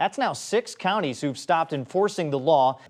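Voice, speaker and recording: A man with a plain, everyday voice, lively intonation and a moderate pace. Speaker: local TV news anchor. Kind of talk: TV newscast reading, story intros and teases.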